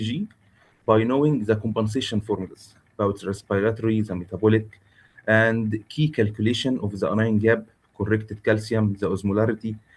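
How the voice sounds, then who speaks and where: A man speaks with an Arabic accent. His pitch is medium. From Egypt. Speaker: intensivist lecturer. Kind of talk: lecture. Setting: video call webinar. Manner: halting, many filler sounds.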